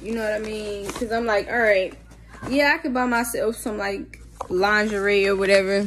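A woman's fairly high, animated voice at a moderate pace, with light background noise. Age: 20s. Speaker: vlogger. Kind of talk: casual vlog; casual vlog chat. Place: home room. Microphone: phone near.

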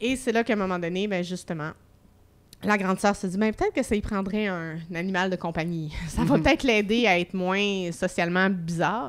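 A woman talks at medium pitch and a fairly quick pace, in a normal speaking voice. Her pitch varies in an ordinary way. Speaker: humour researcher and comedy school director. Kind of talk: casual chat.

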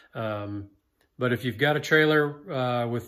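In quiet surroundings, a man's pitch varies in an ordinary way as he speaks. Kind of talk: product review vlog wrap-up. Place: workshop. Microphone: phone near.

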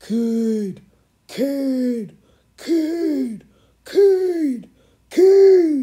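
The voice is a put-on character voice. Its pitch is high.

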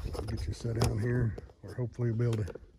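There is audible room echo as a man with a dark, mellow tone speaks at a fairly quick pace.

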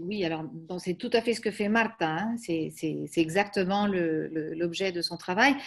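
Against a quiet background, a woman speaks at a very slow pace. Her pitch varies in an ordinary way. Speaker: academic seminar moderator. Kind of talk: academic seminar introduction. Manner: halting. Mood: warm, appreciative. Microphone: video call.

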